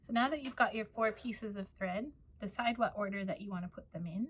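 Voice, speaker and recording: A woman speaks with an American accent and a somewhat breathy voice. Her pitch varies in an ordinary way. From United States. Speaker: librarian. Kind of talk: tutorial.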